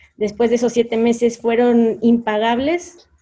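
A woman speaks with a Mexican accent. Her voice is high-pitched, with a dark, mellow tone. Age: 30s. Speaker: HR consultant and entrepreneur. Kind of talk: interview. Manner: halting.

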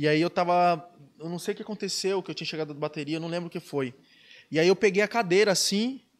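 A man with a high pitch talks at a very fast pace. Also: ordinary pitch variation, very clean recording, silent background. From Brazil, Ubatuba (São Paulo coast). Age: 20s. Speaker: professional surfer. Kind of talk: casual chat.

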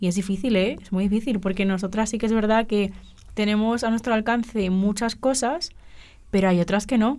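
A woman's fairly high voice with a dark, mellow tone and fairly even intonation. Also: moderate pace. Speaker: journalism student. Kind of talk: casual chat. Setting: studio.

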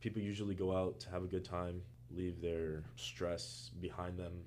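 Amid audible room echo, a man with a very deep, low voice talks at a moderate pace with lively intonation. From Florida, Miami. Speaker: college student. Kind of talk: casual interview.

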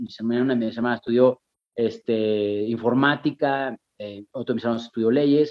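A man with an unremarkable speaking voice, ordinary pitch variation and a moderate pace. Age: 40s. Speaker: actor and TV host. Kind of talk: casual chat.

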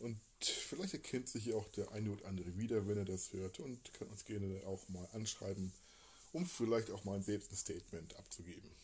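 This man's voice is fairly low in pitch and somewhat breathy. He moves at a moderate pace with ordinary pitch variation. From Hamburg. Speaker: podcast host. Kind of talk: casual chat. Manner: halting.

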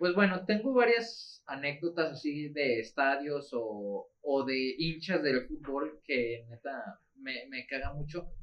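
A man with a Mexican accent speaks at a very slow pace with hardly any pauses, using a fairly high pitch and lively intonation. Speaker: football podcast co-host. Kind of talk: casual chat.

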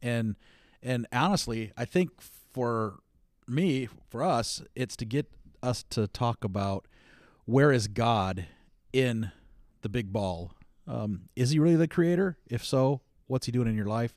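A man with an American accent speaks fairly slowly, with lively intonation and long, frequent pauses. The recording is very clean, with a silent background. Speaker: podcast co-host. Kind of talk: casual chat.

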